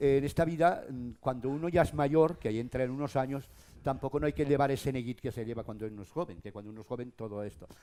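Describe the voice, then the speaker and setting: A man speaks at a very fast pace with a dark, mellow tone and medium pitch. His loudness swings widely, while his pitch varies in an ordinary way. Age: 60s. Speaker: local radio broadcaster. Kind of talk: panel discussion. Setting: stage with audience. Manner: animated.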